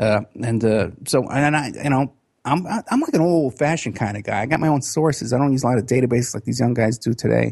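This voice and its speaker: This man talks at a very fast clip with hardly any pauses, his medium pitch moving with ordinary variation. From New York City (Bronx, Staten Island). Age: 50s. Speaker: private investigator. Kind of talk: interview.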